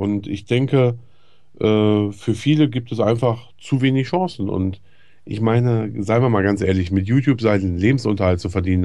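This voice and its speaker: Over a quiet background, a man speaks in a dark, mellow tone at a fairly low pitch. His pace is moderate and his pitch variation ordinary. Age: 30s. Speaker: YouTube gaming commentator. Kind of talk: interview. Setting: home recording room. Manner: halting. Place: studio.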